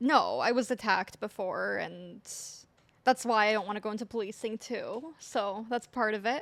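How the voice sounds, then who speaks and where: A woman with a Canadian accent speaks at a moderate pace in a fairly high voice with some vocal fry and ordinary pitch variation, recorded very cleanly against a silent background. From Canada, Ontario, Georgetown. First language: Polish. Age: 20s. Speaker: social support worker. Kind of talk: casual interview.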